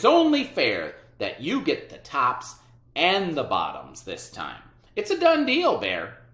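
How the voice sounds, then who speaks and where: The speaker puts on a character voice. The delivery is fairly slow. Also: man, extremely high pitch for a man. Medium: read story. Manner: wheedling.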